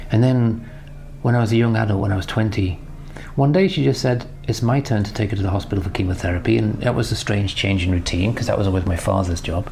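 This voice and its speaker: A man with a British accent talks at a very fast pace, his fairly low pitch moving with ordinary variation. Noticeable background noise and audible room echo fill the recording. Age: 60s. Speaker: business mentor. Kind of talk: recorded personal tribute message.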